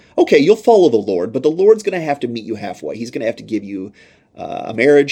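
A man talks at a very fast pace in a fairly high voice with vocal fry. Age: 30s. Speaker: pastor. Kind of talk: sermon-style podcast teaching.

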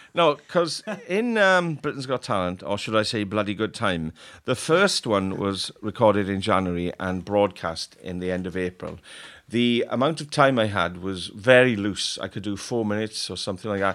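With a South Wales accent, a man speaks in a fairly low pitch with lively intonation on a very clean recording with a silent background. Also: moderate pace. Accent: South Wales Welsh English. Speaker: comedian. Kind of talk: casual chat.

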